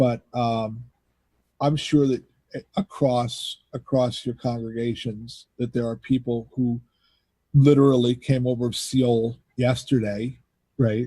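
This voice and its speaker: Speaking at a fairly slow pace in an American accent, a man has a medium pitch, a dark, mellow tone, a somewhat breathy sound and monotone, flat intonation. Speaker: pastor. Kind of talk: casual chat.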